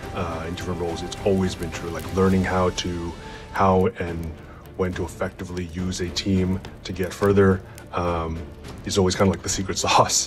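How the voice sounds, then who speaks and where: Clear music plays behind a man with a very deep, low pitch. His intonation is monotone and flat at a moderate pace. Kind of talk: casual interview answer. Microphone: phone near.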